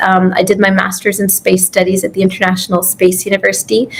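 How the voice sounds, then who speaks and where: Over noticeable background noise, a woman talks at a very fast pace with a medium pitch. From Canada. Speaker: physician and astronaut candidate. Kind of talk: interview.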